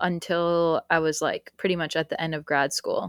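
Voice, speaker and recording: A woman with a General American accent speaks at a fairly low pitch, and the sound is dry and close with no echo. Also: very clean recording, silent background. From Florida, US; raised by Colombian mother. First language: Spanish (Colombian). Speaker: podcast guest. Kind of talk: casual chat.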